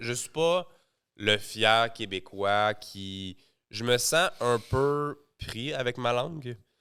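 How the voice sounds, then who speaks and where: With a strong Quebec accent, a man at a medium pitch uses lively intonation and a bright, sharp tone in a very clean recording with a silent background. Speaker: entrepreneur. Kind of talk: podcast interview.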